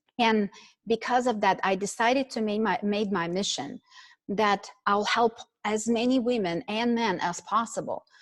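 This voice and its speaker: This speaker talks at a fairly slow pace with a non-native accent. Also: woman. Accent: foreign. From Ukraine. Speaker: network marketing executive. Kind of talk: motivational speech. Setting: online call. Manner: animated.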